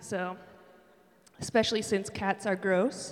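A woman with a Western New York accent and fairly even intonation, amid noticeable background noise. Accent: Western New York (Inland North) American. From Buffalo, New York. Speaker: campus ministry director and worship leader. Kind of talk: sermon. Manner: casual, conversational with many fillers.

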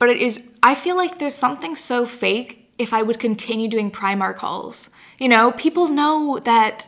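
A woman's high-pitched voice at a moderate pace, with lively intonation. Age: 20s. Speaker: YouTuber and blogger. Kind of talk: casual chat. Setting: in person studio interview.

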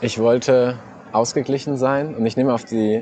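A man's medium-pitched voice at a fairly slow pace, fairly even in intonation, with noticeable background noise. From Saarland, Saarbrücken. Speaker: radio host. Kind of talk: casual chat. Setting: outdoors in a park.

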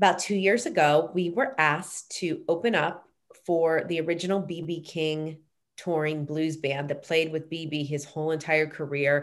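With an American accent, a woman speaks at a moderate pace. Her pitch is very deep and low, and her intonation fairly even. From Pittsburgh, US. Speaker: singer and music executive. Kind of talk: casual interview.

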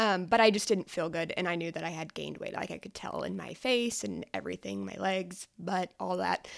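A woman with an American accent at a fairly quick pace, with big swings in loudness, on a very clean recording with a silent background. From rural Oklahoma panhandle. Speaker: nutrition coach. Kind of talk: casual chat.

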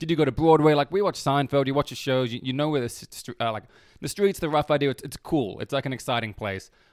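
A man talks very fast at a fairly high pitch with ordinary pitch variation. The recording is very clean, with a silent background. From Melbourne, Australia. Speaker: comedian. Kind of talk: casual chat.

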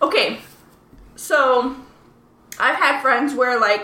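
A woman speaks in a high-pitched voice. Noticeable background noise and audible room echo come through the recording. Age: 30s. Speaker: podcast co-host. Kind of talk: casual chat.

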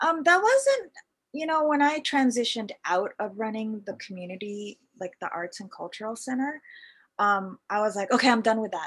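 A woman with a Canadian accent and an unremarkable speaking voice talks at a moderate pace, her fairly high pitch and lively intonation marked by big swings in loudness on a very clean recording with a silent background. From Canada, Vancouver. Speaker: fashion entrepreneur. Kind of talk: casual interview.

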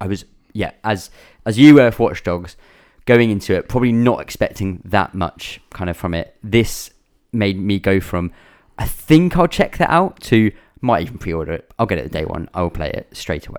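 A man with an English accent, fairly low in pitch and lively in intonation, at a moderate pace in a very clean recording with a silent background. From England. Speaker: gaming podcast host. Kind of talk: casual chat.

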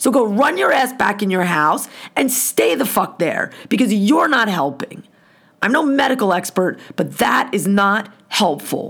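A woman uses a put-on character voice that sounds raspy, at a medium pitch. Her pace is moderate and her loudness stays very even. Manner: angry, scolding.

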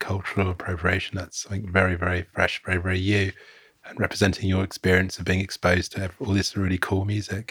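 In a dry, close sound with no echo, a man with a very deep, low pitch talks at a fairly quick pace in a monotone, flat intonation. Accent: British. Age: 40s. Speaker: podcast host. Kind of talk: casual chat.

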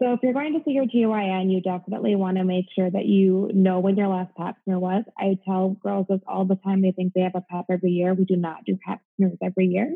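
An ordinary speaking voice from a woman with an American accent, medium in pitch with ordinary pitch variation, at a fairly quick pace with hardly any pauses. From US Midwest. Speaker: gynecologist. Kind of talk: interview. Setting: remote call.

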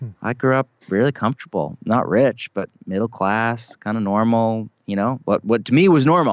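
In an unremarkable speaking voice, a man talks at a moderate pace with hardly any pauses. His pitch is medium, with ordinary pitch variation. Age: 40s. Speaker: pastor and author. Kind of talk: casual chat.

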